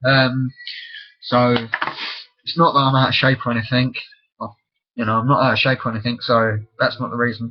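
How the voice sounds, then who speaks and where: In an English accent, a man at medium pitch talks at a fairly quick pace in a monotone, flat delivery broken by long, frequent pauses. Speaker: vlogger. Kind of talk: casual webcam monologue.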